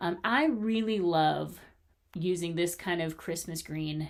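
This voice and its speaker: The tone is animated, with ordinary pitch variation. The pace is fairly slow. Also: woman. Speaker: crochet youtuber. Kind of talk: casual haul video. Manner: loud.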